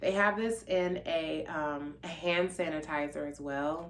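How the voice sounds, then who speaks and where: Audible room echo surrounds a woman who speaks fairly slowly. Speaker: YouTuber / vlogger. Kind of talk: casual product vlog.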